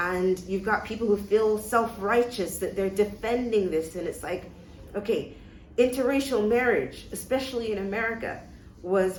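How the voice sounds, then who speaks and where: Audible room echo surrounds a voice moving at a moderate pace with fairly even intonation. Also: woman. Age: 40s. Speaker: interview guest sharing her life story. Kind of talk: personal testimony in a casual interview. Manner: frequent hesitations and repeated words.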